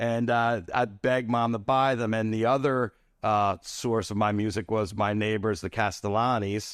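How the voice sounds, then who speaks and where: A man with a New Jersey accent, medium pitch and fairly even intonation, at a moderate pace against a quiet background. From US Northeast, Atlantic City, New Jersey. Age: 60s. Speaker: celebrity photographer. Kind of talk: casual interview chat. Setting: studio.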